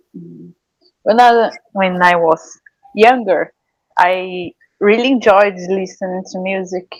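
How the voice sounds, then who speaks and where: A woman with a Portuguese accent speaks very slowly, with long, frequent pauses. Her loudness swings widely. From Brazil, Piauí. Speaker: writer and cultural producer. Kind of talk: interview. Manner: halting.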